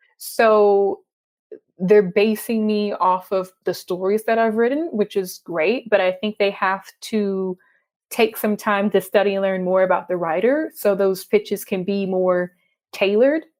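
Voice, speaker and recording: With a Texas accent, a woman speaks at medium pitch and a fairly slow pace. Her pitch variation is ordinary, on a very clean recording with a silent background. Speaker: freelance journalist. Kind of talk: interview.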